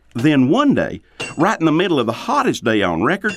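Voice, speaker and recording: With a Southern US accent, a man speaks at a moderate pace using very wide pitch swings, recorded very cleanly against a silent background. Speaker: storyteller. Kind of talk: folktale storytelling.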